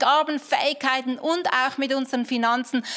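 Noticeable background noise surrounds this recording. A high-pitched woman speaks at a moderate pace with ordinary pitch variation. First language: German. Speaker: pastor. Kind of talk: closing prayer and channel outro. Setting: church. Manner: casual, enthusiastic.

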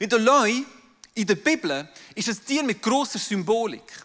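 A man speaks with a high pitch. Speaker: pastor. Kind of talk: sermon.

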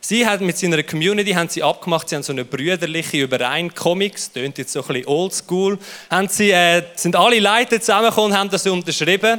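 Here a man speaks with a Swiss accent at a high pitch. His tone is animated. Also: ordinary pitch variation. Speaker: youth pastor. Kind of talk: sermon.

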